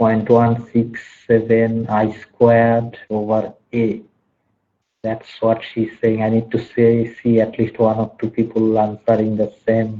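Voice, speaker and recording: A soft-spoken man at a very slow pace, monotone and flat in intonation. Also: medium pitch for a man. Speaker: university lecturer. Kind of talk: online lecture.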